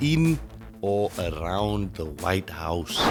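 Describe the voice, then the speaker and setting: A man with a South African accent at a very slow pace, music in the background. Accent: Afrikaans South African English. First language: Afrikaans. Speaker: commentary vlogger. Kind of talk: casual opinion rant. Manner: animated.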